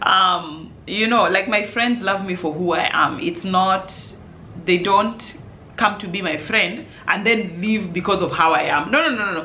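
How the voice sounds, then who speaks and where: Speaking at a fairly slow pace, a woman with a medium pitch and ordinary pitch variation is heard with audible room echo and noticeable background noise. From Kenya, Nairobi. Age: 30s. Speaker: parenting vlogger and sleep coach. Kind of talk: casual Q&A vlog. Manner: loud.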